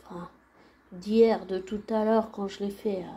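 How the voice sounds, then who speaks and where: At a very slow pace, a woman speaks at a medium pitch in a dark, mellow tone, somewhat breathy and with monotone, flat intonation. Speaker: channel owner sharing audio messages. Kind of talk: casual personal monologue.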